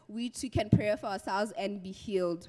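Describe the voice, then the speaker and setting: Her pitch shifts in an ordinary way. The woman keeps a moderate pace. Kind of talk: church testimony. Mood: grateful, earnest. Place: church. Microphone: handheld.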